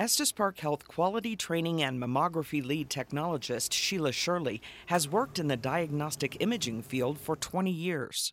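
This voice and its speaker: In a plain, everyday voice, a man with fairly high pitch and lively intonation talks at a moderate pace, with very even loudness and hardly any pauses. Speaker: narrator of health promo. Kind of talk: scripted narration.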